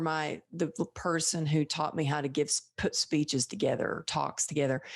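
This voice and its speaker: Speaking with a strong Texan accent, a woman with a very deep, low pitch talks at a moderate pace over a quiet background. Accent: Texan accent, thick. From Texas. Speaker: podcast host. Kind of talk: interview conversation.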